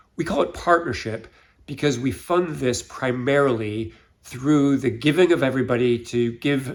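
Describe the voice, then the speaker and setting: Over a silent background in a very clean recording, a man with an American accent speaks at a moderate pace and medium pitch in a plain, everyday voice. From United States. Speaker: church finance volunteer. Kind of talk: interview.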